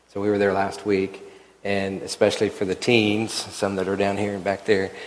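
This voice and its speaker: A man with an American accent speaks at a moderate pace in a fairly low pitch. Noticeable background noise runs behind him. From Oklahoma City. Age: 60s. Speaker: church elder. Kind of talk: church panel conversation.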